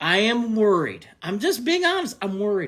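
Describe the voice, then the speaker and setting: An animated, raised and projected voice with a bright, sharp tone and an American accent. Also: man, very clean recording, silent background. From Cleveland, Ohio, US Midwest. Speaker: sports podcast host. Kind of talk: live-stream sports talk reacting to chat. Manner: animated, loud; repetitive, emphatic.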